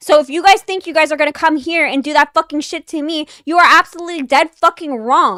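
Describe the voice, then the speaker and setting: Extremely high in pitch, a woman's raised, projected voice carries a bright, sharp tone with ordinary pitch variation. She runs on with hardly any pauses, and the sound is dry and close with no echo. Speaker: livestream host. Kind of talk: livestream chat rant. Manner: loud.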